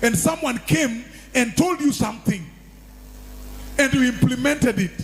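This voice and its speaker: Over noticeable background noise, a man speaks at an extremely high pitch with lively intonation and very even loudness. His pace is moderate, broken by long, frequent pauses. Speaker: pastor. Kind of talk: sermon.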